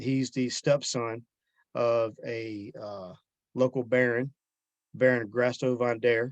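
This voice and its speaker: A soft-spoken man with a Southern US accent talks at a very slow pace, with long, frequent pauses and monotone, flat intonation. His loudness swings widely, and the sound is dry and close with no echo. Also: medium pitch for a man. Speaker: author. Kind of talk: interview answer.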